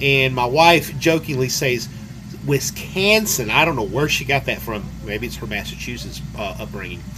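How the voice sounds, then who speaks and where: A man with an American accent is heard through audible room echo and noticeable background noise. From US South. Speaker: vlogger. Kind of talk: casual video reply. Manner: halting, with fillers.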